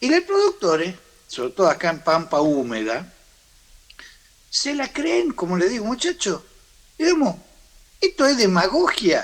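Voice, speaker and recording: Pausing long and often, a man speaks at a high pitch with very wide pitch swings. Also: fairly slow pace. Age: 60s. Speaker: farm sector leader. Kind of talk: interview. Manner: halting.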